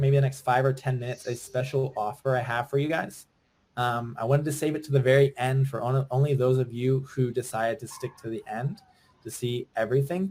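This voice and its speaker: A man's somewhat breathy voice comes with an American accent. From Virginia, US. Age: 20s. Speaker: online business coach. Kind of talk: webinar sales pitch. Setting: live webinar. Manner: fast; animated.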